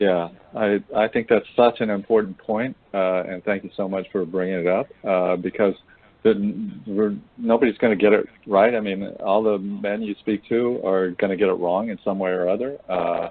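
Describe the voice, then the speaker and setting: A man with a normal speaking voice talks at a fairly low pitch with fairly even intonation. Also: moderate pace. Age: 60s. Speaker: men's engagement trainer. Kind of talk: webinar discussion.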